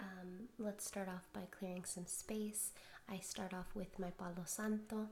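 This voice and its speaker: A soft-spoken woman talks at medium pitch and a fairly slow pace. Her intonation is monotone and flat, with noticeable background noise around her. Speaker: tarot and oracle card reader. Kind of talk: spiritual card reading. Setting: home recording at night.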